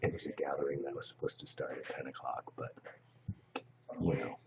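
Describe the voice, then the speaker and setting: A man speaks quietly, leaving long, frequent pauses. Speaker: live streamer. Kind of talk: casual chat. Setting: live stream in a shared space. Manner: hushed, speaking low.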